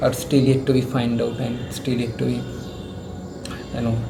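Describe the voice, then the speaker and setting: With music in the background, a man speaks amid audible room echo. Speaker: YouTuber. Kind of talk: casual talk to camera. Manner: halting, with repetitions.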